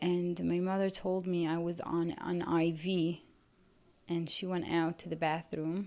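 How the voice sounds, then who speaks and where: A woman speaks in an Arabic accent, fairly low in pitch, with a dark, mellow tone. Her intonation is monotone and flat, and her pace is fairly slow. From Yemen. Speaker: refugee survivor. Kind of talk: testimony. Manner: halting.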